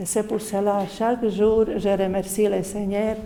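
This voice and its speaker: A woman speaks in a flat, monotone way. Noticeable background noise runs behind her. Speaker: Franciscan religious sister. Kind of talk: testimony. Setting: parish meeting. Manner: halting.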